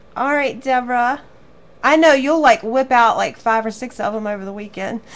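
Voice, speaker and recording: In a Southern US accent, a woman speaks with a high pitch at a moderate pace. Her loudness swings a lot. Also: ordinary pitch variation. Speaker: craft teacher. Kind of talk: live online class wrap-up chat. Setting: live stream to viewers. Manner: warm, chatty.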